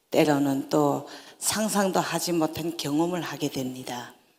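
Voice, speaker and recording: A woman's very deep, low voice in a North Korean accent, very slow, with ordinary pitch variation. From North Korea, North Hamgyong. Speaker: North Korean defector speaker. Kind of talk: public talk.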